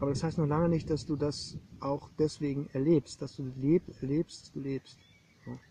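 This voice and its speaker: A somewhat breathy, monotone voice with flat intonation at a fairly slow pace, in a dry, close sound with no echo. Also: man, fairly high pitch for a man. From East Germany. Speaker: artist and art historian. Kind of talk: casual conversation. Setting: outdoors on a meadow.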